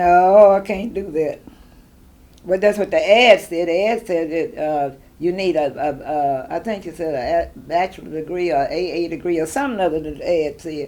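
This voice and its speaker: A woman with a Southern US accent speaks at a moderate pace in a fairly low voice with ordinary pitch variation. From Tennessee, USA. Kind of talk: interview answer.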